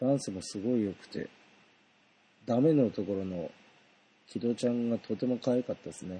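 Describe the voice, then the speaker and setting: A man talks at a moderate pace and medium pitch, his tone dark and mellow with ordinary pitch variation. His loudness swings widely, and long pauses come often. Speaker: solo podcaster, idol concert fan. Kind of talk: casual monologue concert review.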